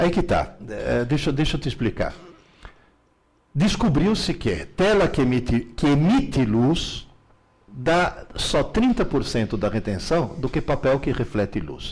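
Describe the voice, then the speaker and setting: This man's voice sits fairly high for a man, with vocal fry. His pitch swings very widely. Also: fairly slow pace. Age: 70s. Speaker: teacher and author on learning. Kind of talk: live Q&A interview. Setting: live stream. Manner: animated.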